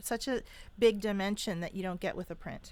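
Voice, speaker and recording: A woman's medium-pitched voice at a moderate pace with fairly even intonation, an ordinary speaking voice, on a very clean recording with a silent background. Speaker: radio show host. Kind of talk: radio interview host.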